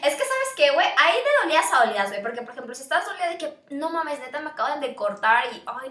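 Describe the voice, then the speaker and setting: In a raised, projected voice, a woman with a Mexican accent races along at a very fast pace with hardly any pauses and lively intonation, over noticeable background noise. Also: big swings in loudness. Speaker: podcast co-host, university student. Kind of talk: casual chat.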